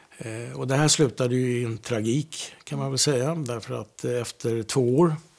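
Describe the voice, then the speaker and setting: A man speaks at a moderate pace with medium pitch. His pitch varies in an ordinary way. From Stockholm, Sweden (Södermalm). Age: 60s. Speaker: interviewee sharing experiences. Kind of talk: casual conversation. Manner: halting, many hesitations.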